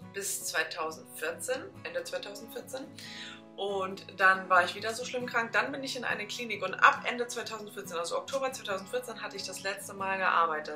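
Clear music plays behind a woman speaking at a moderate pace with ordinary pitch variation. Her loudness swings a lot. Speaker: vlogger. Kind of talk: casual vlog chat. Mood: earnest, reflective. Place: home room.

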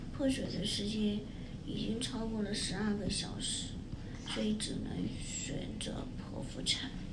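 The tone is tired and the pace very slow. Loud background noise runs underneath. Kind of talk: casual vlog chat. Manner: weak, tired post-surgery voice. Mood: in some pain, subdued. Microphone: camera far.

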